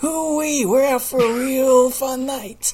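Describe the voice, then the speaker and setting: In a put-on character voice, the speaker talks very slowly at a high pitch. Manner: goofy, hollering.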